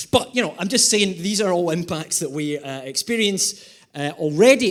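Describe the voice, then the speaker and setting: An animated man with a Scottish accent, high-pitched, fairly quick, with very wide pitch swings. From Scotland, Glasgow. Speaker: environmental economist and comedic speaker. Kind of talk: keynote presentation with humor. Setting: conference stage with audience. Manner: animated, quick humor.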